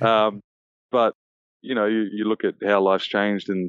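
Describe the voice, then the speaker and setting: The speaker is a man. He has an Australian accent. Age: 30s. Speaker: professional basketball player. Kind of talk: interview.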